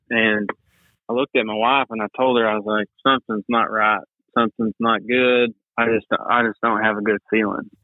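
A man with an East Texas accent talks at a medium pitch in a monotone, flat intonation. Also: moderate pace. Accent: East Texas Southern US. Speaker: outdoor graphic designer. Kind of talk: casual interview chat.

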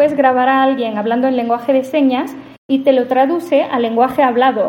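A woman speaks in a high pitch. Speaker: AI policy researcher. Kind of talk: interview conversation.

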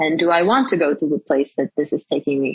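In a Portuguese accent, a woman talks at a very fast pace with a somewhat breathy voice. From Portugal. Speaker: startup executive. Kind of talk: interview.

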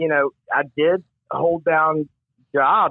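A man is speaking. He has a Mississippi accent. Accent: Southern US (Mississippi). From US South, Mississippi Gulf Coast. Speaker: recovering alcoholic sharing testimony. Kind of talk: testimony. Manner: halting, with many fillers and repetitions.

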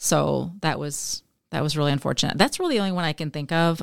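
A woman with a very deep, low pitch talks at a moderate pace in a very clean recording with a silent background. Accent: Upper Midwest. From Michigan, US Midwest. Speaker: author and teacher. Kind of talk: interview testimony.

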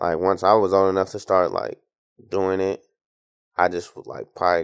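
A man with an American accent talks at a moderate pace in a very deep, low voice. His intonation is monotone and flat, and the background is quiet. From Tacoma, Washington. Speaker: nasheed artist. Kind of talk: casual interview chat.

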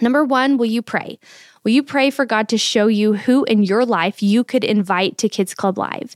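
A woman speaks in a plain, everyday voice with an American accent, at fairly high pitch and a moderate pace, with ordinary pitch variation and very even loudness, the sound dry and close with no echo on a very clean recording with a silent background. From Texas. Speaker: podcast host and church staff. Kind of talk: casual interview.

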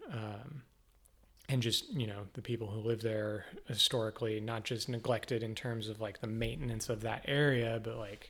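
A man of medium pitch speaks at a moderate pace in a somewhat breathy, flat monotone. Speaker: podcast host, local politics. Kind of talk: casual interview conversation. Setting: home studio.

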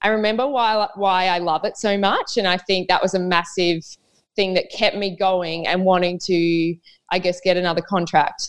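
A woman with an Australian accent, medium in pitch, at a moderate pace with fairly even intonation. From Queensland, Australia. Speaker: professional netball player. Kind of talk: casual chat.

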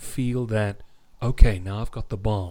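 Speaking in a Home Counties accent, a man has a fairly low-pitched voice. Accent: RP-like home counties English. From South Africa. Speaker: radio DJ. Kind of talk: casual interview chat. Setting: video call. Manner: articulate, formal vocabulary.

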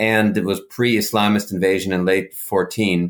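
Using fairly even intonation, a man speaks in a plain, everyday voice at a fairly low pitch. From mixed: Israel, Africa, Europe, US. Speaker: conflict negotiator and foundation head. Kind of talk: interview.

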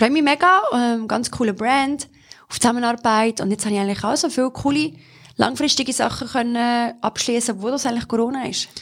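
A high-pitched woman with a Solothurn accent at a fairly quick pace. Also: ordinary pitch variation. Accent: Swiss German (Solothurn). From Switzerland, Solothurn. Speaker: model and presenter. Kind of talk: casual interview.

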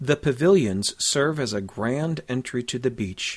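At a moderate pace, a man with a normal speaking voice talks using lively intonation. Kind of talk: scripted audio walking-tour narration, directing listeners street by street. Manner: clear, measured, formal, guide-like and informative.

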